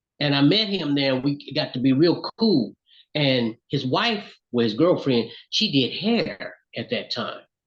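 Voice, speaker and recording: A man speaks fairly slowly with a Southern US accent. His fairly high pitch makes very wide swings. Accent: US South. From Alabama, Florence. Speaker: singer and songwriter. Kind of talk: interview.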